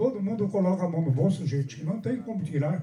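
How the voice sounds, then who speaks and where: A man with lively intonation. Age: 80s+. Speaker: carnival samba school veteran. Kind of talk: panel discussion speech. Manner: halting, with repetitions.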